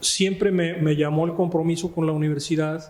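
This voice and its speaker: Here a man speaks at a fairly high pitch with monotone, flat intonation. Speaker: notary and law professor. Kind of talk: interview. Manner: halting.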